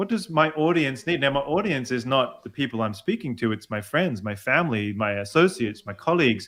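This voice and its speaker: A man speaks with an Australian accent at a medium pitch. His pace is fairly quick, with very wide pitch swings. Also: hardly any pauses. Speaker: executive voice coach; opera singer. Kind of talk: interview answer.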